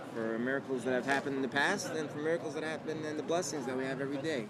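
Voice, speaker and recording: There is noticeable background noise behind this man's voice. He talks in a New York accent at a medium pitch with ordinary pitch variation. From Brooklyn, New York. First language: Yiddish. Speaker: artist and rabbi. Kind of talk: interview. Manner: halting, many fillers.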